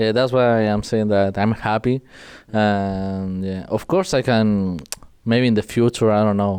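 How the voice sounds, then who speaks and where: Against a quiet background, a man with a Spanish accent and a dark, mellow tone speaks at a very slow pace, his fairly low pitch carrying fairly even intonation. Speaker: esports pro player. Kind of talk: interview.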